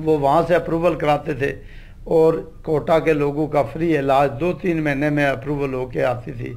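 Fairly slow pace and fairly even intonation. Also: man, fairly high pitch for a man. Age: 50s. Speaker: politician and dialysis centre head; talk show guest. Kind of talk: TV interview; interview answer. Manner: halting. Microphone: handheld.

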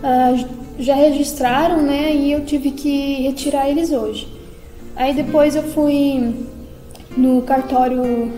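A woman speaks at a very slow pace and high pitch, monotone and flat, with long, frequent pauses, audible room echo and faint music in the background. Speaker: vlogger giving a personal update. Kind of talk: casual vlog chat. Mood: calm, informative. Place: home room. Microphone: phone near.

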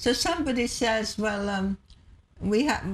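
A woman with a somewhat breathy, medium-pitched voice talks at a moderate pace over light background noise. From Hungary. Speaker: historian and activist; interview guest. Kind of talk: TV interview. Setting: TV studio. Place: studio.

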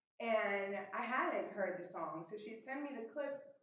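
Audible room echo and light background noise surround a woman as she speaks. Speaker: walk participant; presenter. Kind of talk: presentation. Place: hall. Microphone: camera far.

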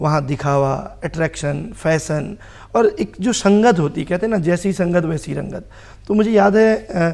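Against a quiet background, a man speaks at a very slow pace. His pitch is high. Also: ordinary pitch variation. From Kumaon, Uttarakhand (Bageshwar, then Haldwani); Uttarakhand. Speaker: social worker and advocate; talk show guest. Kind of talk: TV talk show interview. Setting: TV studio. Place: studio. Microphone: lapel.

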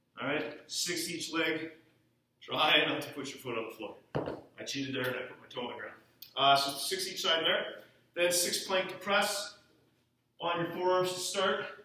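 In a room with audible echo, a man with a high pitch and ordinary pitch variation talks at a moderate pace, leaving long, frequent pauses. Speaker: fitness coach. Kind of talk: tutorial. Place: gym. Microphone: camera far.

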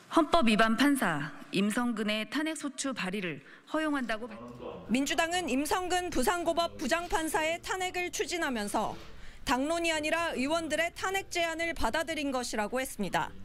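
A woman's high, lively voice over noticeable background noise. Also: moderate pace. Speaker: news reporter. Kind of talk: news report.

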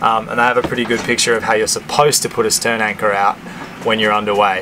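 A man talks with noticeable noise in the background. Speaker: sailing vlogger. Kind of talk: tutorial. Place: boat. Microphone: phone near.

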